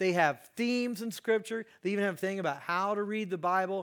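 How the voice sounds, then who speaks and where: With an American accent, a man speaks at a high pitch and a fairly quick pace. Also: very clean recording, silent background. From US Midwest, Indiana. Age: 50s. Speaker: guest preacher. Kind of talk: sermon.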